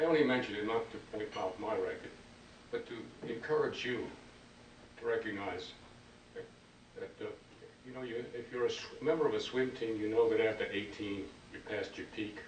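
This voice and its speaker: A man speaks at a moderate pace with long, frequent pauses. The recording has audible room echo and noticeable background noise. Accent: American. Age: 80s+. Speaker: foundation founder, former legislator. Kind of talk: after-dinner speech. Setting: dinner event with audience. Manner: halting, many repetitions.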